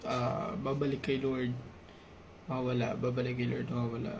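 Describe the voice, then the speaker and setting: Soft-spoken and at very even loudness, a man is heard with noticeable background noise and audible room echo. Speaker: YouTuber sharing personal reflections. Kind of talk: personal confessional vlog. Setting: at home at night, late night. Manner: soft-spoken, quiet; halting, hesitant.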